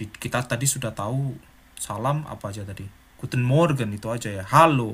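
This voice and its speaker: The man's voice is medium in pitch, with ordinary variation. He keeps a moderate pace. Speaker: German language teacher. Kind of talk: tutorial. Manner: animated.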